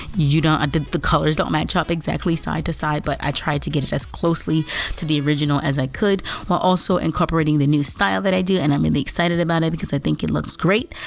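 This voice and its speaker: Over noticeable background noise, a woman with a very deep, low pitch talks at a very fast pace with ordinary pitch variation. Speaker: artist and video creator. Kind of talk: voiceover commentary over drawing video. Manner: casual, rambling with fillers.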